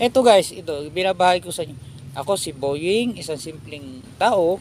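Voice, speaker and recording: A man speaks in a high pitch with lively intonation. Noticeable background noise runs behind him. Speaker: vlogger. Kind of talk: casual chat. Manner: halting.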